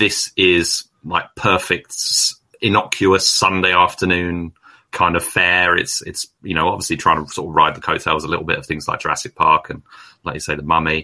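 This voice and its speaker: A man with an English accent at a moderate pace. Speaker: film podcast guest, reviewer. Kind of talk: casual chat. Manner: halting.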